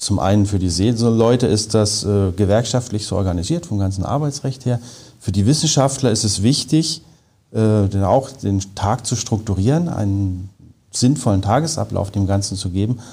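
The voice is dark and mellow, somewhat breathy, with lively intonation. It moves at a moderate pace. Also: man. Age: 40s. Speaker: engineer and polar researcher. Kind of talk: interview.

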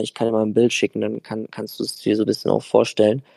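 Very fast and medium in pitch, a man's dark, mellow voice comes across with a dry, close sound and no echo. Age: 20s. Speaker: football podcast co-host. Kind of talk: casual chat. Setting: recording from a hotel on holiday. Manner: animated.

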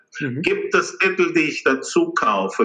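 Noticeable background noise is present. A man talks at a fairly slow pace. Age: 50s. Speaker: capital market strategist. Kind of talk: interview.

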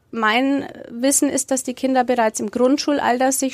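The delivery is monotone, with flat intonation, in a dry, close sound with no echo. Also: woman. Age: 40s. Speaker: sex therapist. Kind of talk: interview.

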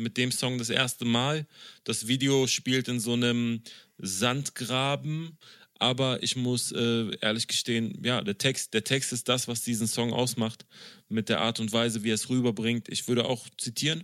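A man speaks in an ordinary speaking voice at a moderate pace and medium pitch, with a dry, close sound that has no echo. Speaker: podcast host. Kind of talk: casual chat. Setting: video call.

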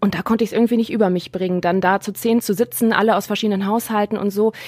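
The voice shows ordinary pitch variation with noticeable background noise. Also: woman. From Germany, Neuss near Düsseldorf. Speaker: guest co-host. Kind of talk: casual chat. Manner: loud.

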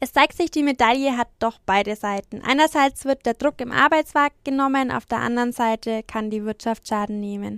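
A woman with a slight Franconian accent speaks at a moderate pace in a high voice, her pitch varying in an ordinary way, with hardly any pauses, in a dry, close recording with no echo that is very clean against a silent background. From Franconia, Germany (Franconian Lake District). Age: 20s. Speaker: trainee journalist and podcast host. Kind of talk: news podcast presenting and interviewing.

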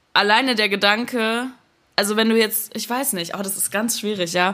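Her voice is fairly high in pitch, and this woman's tone comes across bright and sharp. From Germany, bilingual with American mother. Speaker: singer and music producer. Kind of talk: casual chat. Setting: remote recording. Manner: mixes German and English.

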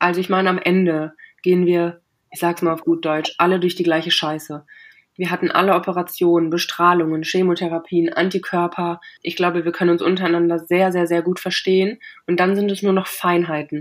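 At a fairly quick pace, a woman with a fairly low pitch speaks in a flat, monotone way. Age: 20s. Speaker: cancer patient. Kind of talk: interview.

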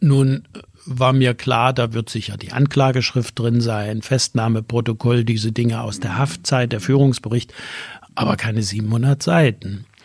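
A somewhat breathy man's voice at medium pitch, fairly slow in pace and fairly even in intonation. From East Germany, Erzgebirge (Saxony). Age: 70s. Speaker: retired business association executive. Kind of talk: interview.

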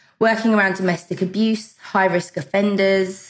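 The speaker is a woman with a British accent. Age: 40s. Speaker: dating coach and author. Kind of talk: casual interview. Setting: remote call.

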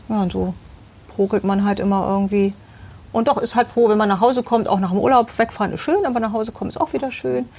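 A woman speaks at a very fast pace. Her fairly high voice carries lively intonation. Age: 50s. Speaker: homeowner interviewed about her interior design. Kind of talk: casual interview. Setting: outdoors in her garden.

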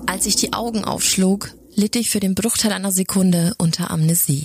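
A woman with an unremarkable speaking voice talks at a moderate pace and medium pitch, with ordinary pitch variation. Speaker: creepypasta narrator. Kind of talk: scripted horror narration, first person.

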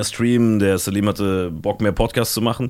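A man with a fairly low pitch and an unremarkable speaking voice. The recording is very clean, with a silent background. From Germany, Saarland. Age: 20s. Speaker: podcaster and comedy agency founder. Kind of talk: casual chat.

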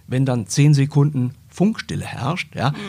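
A man speaks at a moderate pace in a medium pitch with ordinary pitch variation. His dark, mellow tone is somewhat breathy. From Germany, moved around (Braunschweig, Cologne). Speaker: newspaper editor and podcaster. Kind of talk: interview.

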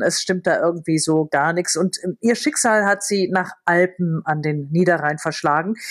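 Fairly even intonation from a woman at a mid-range pitch. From Lower Rhine, Germany. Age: 50s. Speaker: novelist and TV presenter. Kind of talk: casual chat.

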